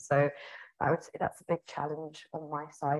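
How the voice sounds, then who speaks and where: Against a quiet background, a woman speaks at a moderate pace in a very deep, low pitch. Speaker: head of marketing. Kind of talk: casual interview. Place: office. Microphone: earbuds.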